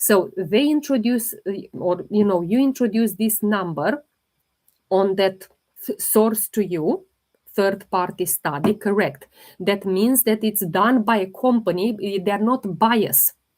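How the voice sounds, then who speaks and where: The voice carries a non-native accent and moves at a fairly slow pace with ordinary pitch variation. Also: woman, medium pitch for a woman. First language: not English. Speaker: holistic health livestreamer. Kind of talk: live Q&A stream. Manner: halting.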